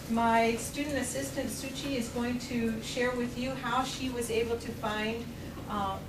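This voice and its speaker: Over noticeable background noise, a woman with a high voice speaks at a fairly slow pace in a fairly even tone. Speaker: presenter. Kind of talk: lecture. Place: classroom. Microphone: camera far.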